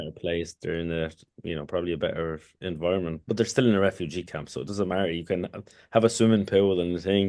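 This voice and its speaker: In a strong Irish accent, a man talks very fast with a very deep, low pitch and fairly even intonation. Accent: thick Irish. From Kurdistan, raised in Ireland from age 11 (Leitrim, then Dublin). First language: Kurdish. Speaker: former hurler and author. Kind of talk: podcast interview. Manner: halting, many fillers and restarts.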